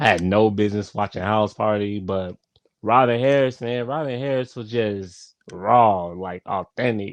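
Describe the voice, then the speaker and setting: A man talks at a fairly slow pace with a fairly low pitch and ordinary pitch variation. The sound is dry and close, with no echo. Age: 30s. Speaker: YouTuber reviewing movies. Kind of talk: casual live stream review. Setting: live stream. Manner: halting, many fillers and repetitions.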